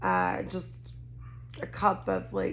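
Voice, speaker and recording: A woman speaks with a Texas accent, her pitch swinging very widely, with audible echo from the room. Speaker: tarot card reader. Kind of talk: tarot reading to camera. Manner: casual, rambling with self-corrections.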